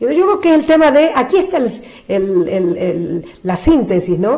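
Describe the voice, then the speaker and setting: Fairly slow delivery with very wide pitch swings. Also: woman. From Argentina. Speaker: nun. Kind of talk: interview answer.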